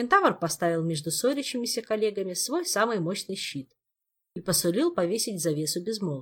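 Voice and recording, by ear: Someone reads aloud in a natural voice with lively intonation. The background is quiet.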